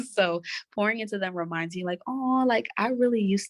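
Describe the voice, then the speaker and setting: A soft-spoken woman with an American accent at a fairly quick pace, against a quiet background. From Brooklyn, New York. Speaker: PR and communications expert. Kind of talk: interview. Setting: office.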